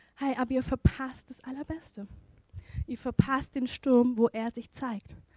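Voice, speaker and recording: A woman's high voice, fairly slow, with big swings in loudness and a dry, close sound with no echo. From Indian background. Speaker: preacher. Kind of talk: sermon. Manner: animated.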